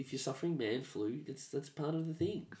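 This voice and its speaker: A man talks in a fairly high, somewhat breathy voice. His intonation is lively. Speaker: comedian, podcast co-host. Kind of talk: casual chat. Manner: halting.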